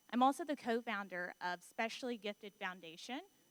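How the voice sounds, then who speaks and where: Speaking fairly quickly, a woman talks in a Southern US accent. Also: dry, close sound with no echo. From US South, near Atlanta, Georgia. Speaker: marketing executive, panelist. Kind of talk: panel discussion. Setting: conference stage with audience.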